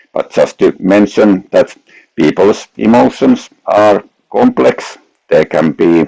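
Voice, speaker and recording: Captured with a dry, close sound and no echo, a man with a Finnish accent speaks at a fairly slow pace. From Finland. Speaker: researcher. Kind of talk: academic lecture.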